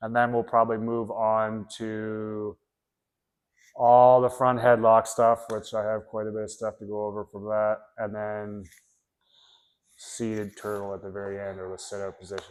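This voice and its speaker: In a very clean recording with a silent background, the speech moves at a moderate pace with monotone, flat intonation, long, frequent pauses and big swings in loudness. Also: man, fairly low pitch for a man. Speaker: jiu-jitsu instructor. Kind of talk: tutorial. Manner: casual, rambling explanation.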